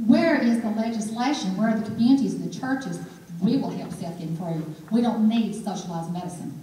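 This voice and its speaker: Against noticeable background noise and audible room echo, a woman with an Alabama accent talks at a fairly quick pace in a fairly high voice with ordinary pitch variation. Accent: Southern (Alabama), noticeable. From Alabama, Birmingham. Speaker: political candidate. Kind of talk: political forum speech and Q&A. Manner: animated.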